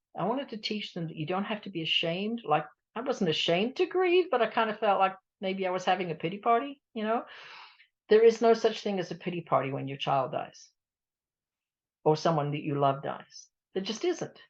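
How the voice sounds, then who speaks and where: A woman talks at a fairly quick pace with very wide pitch swings over a quiet background. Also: medium pitch for a woman. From England. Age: 70s. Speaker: grief support coach, bereaved mother. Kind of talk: radio interview. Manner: conversational, reflective.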